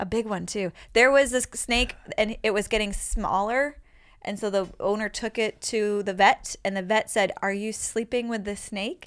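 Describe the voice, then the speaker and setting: A woman talks at a moderate pace with a fairly high pitch and fairly even intonation, an ordinary speaking voice. The recording is very clean, with a silent background. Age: 40s. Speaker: comedian and podcast host. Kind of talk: casual chat. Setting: studio.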